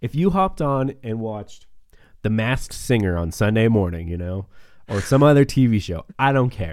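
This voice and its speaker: A man with a normal speaking voice and an American accent, medium pitch, lively intonation, moderate pace, on a very clean recording with a silent background. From northeast Montana. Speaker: podcast host and preacher. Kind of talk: casual chat. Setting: studio.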